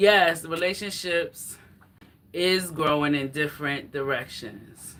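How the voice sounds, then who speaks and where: A woman's fairly low voice, very slow, with ordinary pitch variation and noticeable background noise. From New York, the Bronx. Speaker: fitness vlogger. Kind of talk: casual livestream chat. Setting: live stream, exercising while talking. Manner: loud.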